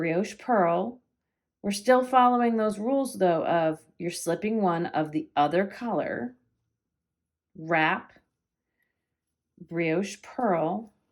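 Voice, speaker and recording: This woman speaks with an American accent and a medium pitch. Her intonation is lively. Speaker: knitting teacher and yarn shop owner. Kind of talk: tutorial. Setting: at home.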